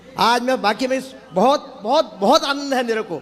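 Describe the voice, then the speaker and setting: Against noticeable background noise, a man with an extremely high pitch speaks at a moderate pace with ordinary pitch variation. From Uttarakhand, Champawat district. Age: 70s. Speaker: devotee visitor. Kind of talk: testimony.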